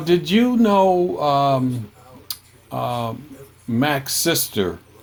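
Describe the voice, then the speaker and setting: There is noticeable background noise in this clip. Over it, a man talks with lively intonation. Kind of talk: casual family conversation.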